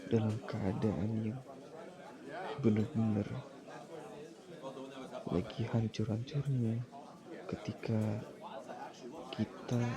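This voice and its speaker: Crowd noise fills the background. A man speaks at medium pitch with ordinary pitch variation. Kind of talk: ASMR boyfriend roleplay. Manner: soft-spoken, comforting.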